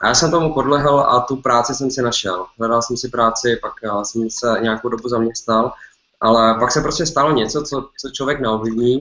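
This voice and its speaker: The intonation stays fairly even. Audible room echo surrounds the voice. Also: man, moderate pace. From Czech Republic. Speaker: entrepreneur, clothing business owner. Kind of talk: webinar talk. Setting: online webinar. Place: home room. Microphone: webcam.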